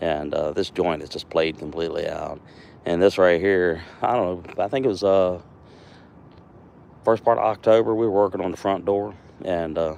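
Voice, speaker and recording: In a very deep, low pitch and a relaxed tone, a man speaks at a moderate pace with ordinary pitch variation and long, frequent pauses. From US East Coast, Virginia. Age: 60s. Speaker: woodcarving livestreamer, retired mail carrier. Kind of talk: casual live stream chat while carving. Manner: relaxed, halting with fillers.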